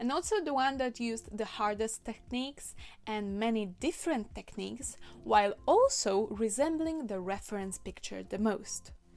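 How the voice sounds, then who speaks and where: In a Polish accent, a woman speaks at a fairly slow pace with a fairly high pitch and ordinary pitch variation. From Poland. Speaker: cosplayer and video creator. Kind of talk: tutorial. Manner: casual, conversational.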